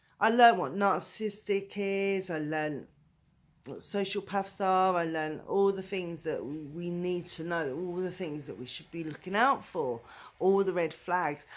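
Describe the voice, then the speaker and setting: Someone with a British accent speaks at a fairly slow pace, with ordinary pitch variation and big swings in loudness. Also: woman, fairly low pitch for a woman. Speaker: domestic violence survivor. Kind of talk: personal story told to camera. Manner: voice wobbles with emotion.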